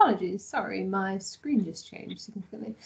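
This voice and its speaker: In an English accent, a woman with a medium pitch speaks in a somewhat breathy voice. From England. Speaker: graduate assistant and doctoral student. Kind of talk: online info session. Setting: video call.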